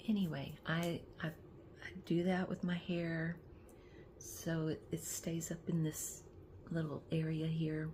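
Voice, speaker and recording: A woman's very deep, low voice, dark and mellow in tone, somewhat breathy, with monotone, flat intonation. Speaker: lifestyle vlogger. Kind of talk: casual vlog talk. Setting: in bed. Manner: halting, many restarts; talkative.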